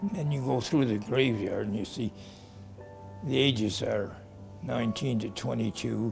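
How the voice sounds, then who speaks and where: Against music in the background, a man with a fairly low pitch speaks at a moderate pace with very wide pitch swings. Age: 80s+. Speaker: war veteran. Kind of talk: interview answer.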